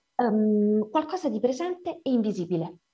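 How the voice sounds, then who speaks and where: A woman's voice with very wide pitch swings. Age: 40s. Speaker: writer and editor. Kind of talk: lecture.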